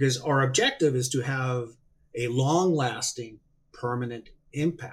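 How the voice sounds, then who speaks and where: A man speaks at a fairly slow pace in a medium-pitched, somewhat breathy voice with fairly even intonation. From Mexico, Hermosillo, Sonora. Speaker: seafood industry market development director. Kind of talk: interview.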